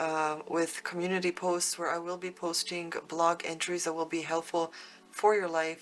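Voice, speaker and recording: A woman with a fairly low pitch speaks at a fairly slow pace. Her intonation is monotone and flat. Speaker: tarot reader. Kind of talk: tarot reading. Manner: casual, with many fillers.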